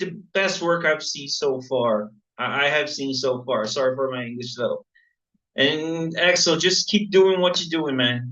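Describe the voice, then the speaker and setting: A man speaks with a Portuguese accent at a fairly high pitch. His pace is fairly slow. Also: ordinary pitch variation. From Brazil. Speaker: viewer at a live Q&A. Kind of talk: casual chat. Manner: halting.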